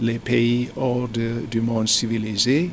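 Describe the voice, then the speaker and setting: A man talking at a very slow pace over noticeable background noise. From United States. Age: 60s. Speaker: businessman. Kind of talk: interview. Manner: halting, frequent hesitations.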